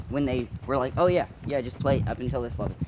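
Here is a man with an ordinary speaking voice, medium in pitch, with ordinary pitch variation. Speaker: co-host. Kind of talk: casual banter.

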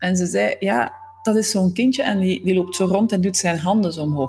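There is music in the background as a woman at a medium pitch speaks with lively intonation. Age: 40s. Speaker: systemic coach. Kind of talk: podcast monologue.

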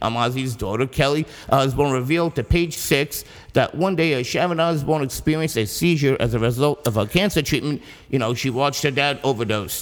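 This man talks at a fairly quick pace in a fairly high voice, with ordinary pitch variation and very even loudness. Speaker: podcast co-host reading music news. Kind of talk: reading news items aloud. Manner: hurried.

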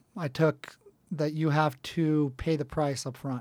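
In an American accent, a man speaks at a moderate pace. His pitch is fairly high and his intonation fairly even. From southern California. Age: 40s. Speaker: entrepreneur. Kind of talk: interview. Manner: halting, many fillers.

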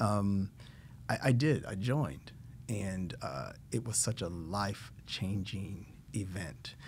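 A man's fairly low voice with vocal fry, lively intonation and a very slow pace. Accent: American. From Indiana, US Midwest. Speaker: nonprofit board member and healthcare company executive. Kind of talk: casual interview. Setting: studio.

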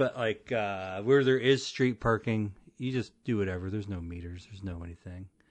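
A man with a plain, everyday voice, fairly low-pitched, at a fairly quick pace with ordinary pitch variation and big swings in loudness, over a quiet background. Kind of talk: casual chat.

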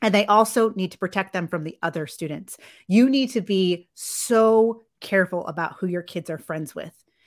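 In a very clean recording with a silent background, a woman uses a normal speaking voice at medium pitch, with ordinary pitch variation at a moderate pace. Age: 40s. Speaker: social media influencer and former teacher. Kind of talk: casual chat.

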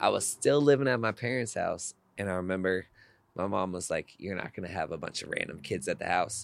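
A man with an American accent talks fairly quickly in a plain, everyday voice, pitched fairly low with lively intonation. The recording is very clean, with a silent background. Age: 20s. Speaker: athletic trainer. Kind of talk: casual chat.

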